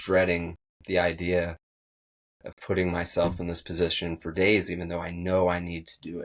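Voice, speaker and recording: A man with a very deep, low pitch speaks at a moderate pace in a shaky, monotone, flat delivery. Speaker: podcast host. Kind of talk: motivational monologue.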